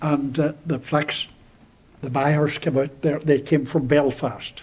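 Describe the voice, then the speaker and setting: A man with a Donegal accent, fairly high in pitch, at a moderate pace and in a monotone, flat intonation. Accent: Donegal Irish. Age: 80s+. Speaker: local elder. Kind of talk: oral history interview. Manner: halting.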